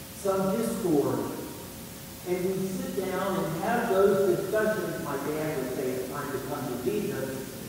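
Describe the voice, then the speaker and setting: Noticeable background noise and strong room echo surround a man's voice. He speaks very slowly, with a high pitch and ordinary pitch variation. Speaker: priest. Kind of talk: homily at Easter Mass. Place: church.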